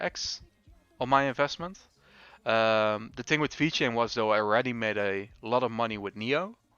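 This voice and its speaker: Music can be heard in the background. Over it, a man talks at a medium pitch with ordinary pitch variation. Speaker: crypto trading livestreamer. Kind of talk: livestream technical analysis with chat reading. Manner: casual, hesitant with fillers.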